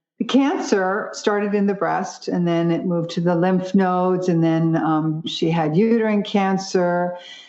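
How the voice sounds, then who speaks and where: Room echo is audible as a woman speaks at a moderate pace. Her pitch is medium, with ordinary variation. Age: 60s. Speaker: vegan nutritionist and brain health advocate. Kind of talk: podcast interview.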